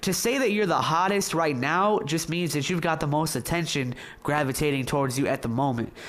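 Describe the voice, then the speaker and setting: Audible room echo surrounds a man with an American accent and a fairly high pitch. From Michigan. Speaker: interviewer. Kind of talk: casual interview.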